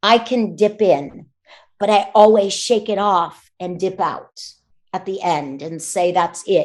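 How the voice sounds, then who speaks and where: With an American accent, a woman speaks at a fairly slow pace in a plain, everyday voice, medium in pitch and with ordinary pitch variation. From United States. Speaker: voice actor. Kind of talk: interview answer.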